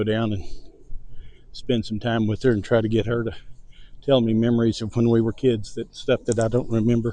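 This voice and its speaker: With a Texan accent, a man of medium pitch speaks in a dark, mellow tone, leaving long, frequent pauses. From Texas. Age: 70s. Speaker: vlogger. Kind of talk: casual chat. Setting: outdoors walking dogs. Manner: slow and distinct.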